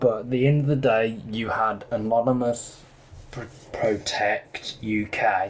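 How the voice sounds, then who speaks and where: The man's pitch rises and falls in an ordinary way. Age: 20s. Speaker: gaming commentator. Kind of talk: casual gaming commentary. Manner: loud.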